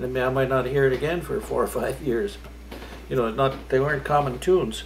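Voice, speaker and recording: There is noticeable background noise behind the speaker. He is a man moving at a fairly quick clip. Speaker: fiddler. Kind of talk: interview answer. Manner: casual, hesitant.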